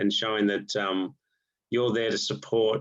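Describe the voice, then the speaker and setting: Speaking with an Australian accent, a man keeps a fairly slow pace. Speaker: golf coach. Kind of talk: online presentation to golf coaches. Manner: halting, many repetitions and fillers.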